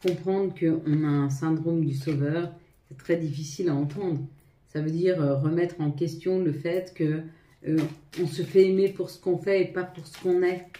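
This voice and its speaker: A woman's fairly low, dark, mellow voice with fairly even intonation and big swings in loudness. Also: moderate pace. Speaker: tarot reader. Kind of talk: tarot reading to viewers. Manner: halting, stumbling.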